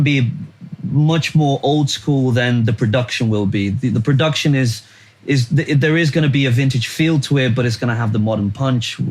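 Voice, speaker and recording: A man talks fairly quickly at a medium pitch, varying it in an ordinary way, while noticeable background noise carries on. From Brazil. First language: Portuguese. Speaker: musician. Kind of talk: casual interview chat. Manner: halting, many repeated words.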